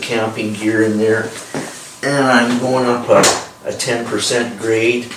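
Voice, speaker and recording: A man talks fairly slowly. The recording has audible room echo and noticeable background noise. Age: 60s. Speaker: velomobile cyclist vlogger. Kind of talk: casual tutorial. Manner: halting, many fillers.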